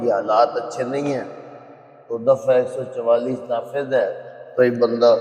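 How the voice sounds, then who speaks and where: A man is heard over noticeable background noise. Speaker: Quran reciter and teacher. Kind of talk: religious lecture explaining verses. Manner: conversational.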